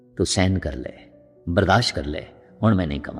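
A man speaks with a very deep, low pitch. Music plays in the background. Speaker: Sikh preacher giving a religious discourse. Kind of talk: religious storytelling, katha.

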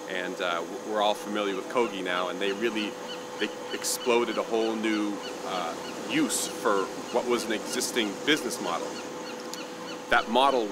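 Amid loud background noise, a man talks with long, frequent pauses. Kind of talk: interview answer. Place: street.

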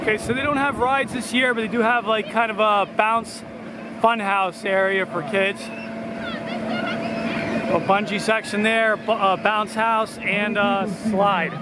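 Over loud background noise, a man talks at a fairly slow pace in a dry sound with no echo. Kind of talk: casual vlog chat. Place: street. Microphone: phone near.

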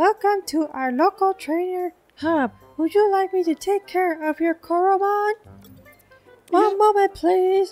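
An extremely high, squeaky put-on character voice moves at a fairly slow pace, with faint music in the background. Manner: polite, helpful, customer-service.

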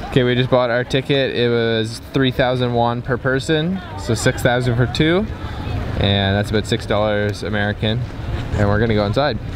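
A man talks at a moderate pace with ordinary pitch variation. The sound is dry with no echo, and crowd noise fills the background. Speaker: travel vlogger. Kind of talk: casual vlog chat. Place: open country. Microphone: phone near.

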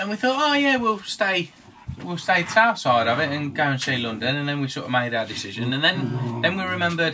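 A man speaks fairly quickly while noticeable noise fills the background. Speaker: boat vlogger. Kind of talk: casual vlog chat. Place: boat. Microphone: camera far.

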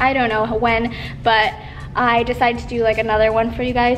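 Faint music plays in the background. A woman with a high pitch speaks at a fairly quick pace. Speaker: fitness vlogger. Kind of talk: casual vlog chat. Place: gym. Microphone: phone near.

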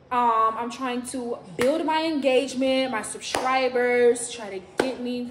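A woman speaks in a high voice. Her recording has audible room echo and light background noise. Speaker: vlogger. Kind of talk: casual vlog chat. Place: home room. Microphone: phone near.

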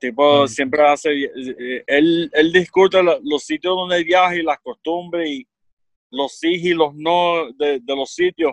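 Against a quiet background, a man with a high pitch speaks fairly slowly with ordinary pitch variation in a dry sound with no echo. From Puerto Rico, central region. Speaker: podcast guest. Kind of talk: casual chat. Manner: halting. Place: home room. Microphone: studio mic.

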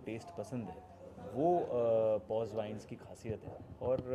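Noticeable background noise surrounds a man talking at a fairly slow pace. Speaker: guest. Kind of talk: press interview answer. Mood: relaxed, upbeat. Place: hall. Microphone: handheld.

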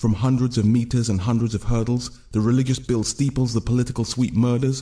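Against a quiet background, a man with a medium pitch speaks at a fairly quick pace, somewhat breathy, in an intense tone with fairly even intonation. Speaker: spoken word poet. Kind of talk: spoken word poem performance, rhythmic and rhyming. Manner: intense, rhythmic, driving delivery with dense wordplay. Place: studio. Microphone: studio mic.

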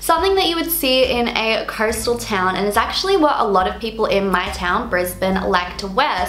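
Over faint background music, a woman talks at a moderate pace with audible room echo. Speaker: fashion vlogger. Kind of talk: casual vlog chat.

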